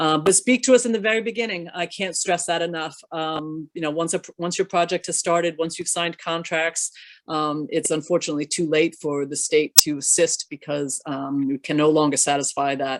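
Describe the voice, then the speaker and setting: Speaking with hardly any pauses, a woman with a fairly low pitch is heard in a very clean recording with a silent background and a dry, close sound with no echo. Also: ordinary pitch variation. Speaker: state economic development official. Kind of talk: panel discussion. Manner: fast.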